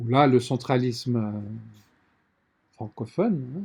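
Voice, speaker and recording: The voice has a dark, mellow tone, is somewhat breathy, and moves at a fairly slow pace. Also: man. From Lesotho and South Africa. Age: 60s. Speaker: publisher. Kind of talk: interview.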